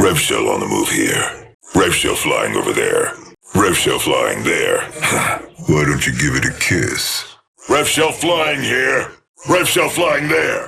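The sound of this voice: In a put-on character voice, a man speaks slowly at an extremely low pitch with vocal fry, big pitch swings, and a bright, sharp tone.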